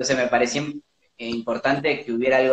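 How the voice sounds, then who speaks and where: Dry and close with no echo, a man's medium-pitched voice moves at a fairly quick pace. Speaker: documentary film director. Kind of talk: interview. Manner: halting.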